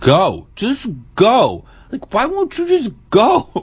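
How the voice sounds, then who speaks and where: Someone with a female-sounding voice uses a put-on character voice at a high pitch. The pace is very slow. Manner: impatient, annoyed driver.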